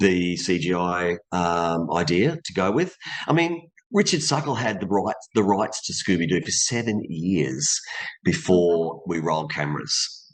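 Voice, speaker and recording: A man with a very deep, low pitch speaks at a fairly slow pace with lively intonation in an Australian accent, against a quiet background. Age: 50s. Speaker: voice actor and stunt performer. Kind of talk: interview.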